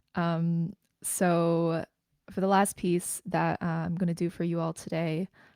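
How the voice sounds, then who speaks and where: A woman with a Canadian accent has a fairly low pitch and a dark, mellow tone, recorded dry and close with no echo on a very clean recording with a silent background. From Greater Toronto Area, Canada. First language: Mandarin. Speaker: spoken word poet. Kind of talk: poetry performance; casual introduction. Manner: hesitant, filler-heavy between poems.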